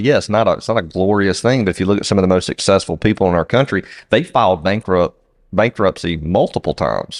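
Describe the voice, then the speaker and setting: A man with a Southern US accent talks at a very fast pace in a fairly low voice, recorded dry and close with no echo against a quiet background. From US South. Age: 40s. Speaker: podcast co-host, business owner. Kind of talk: casual chat.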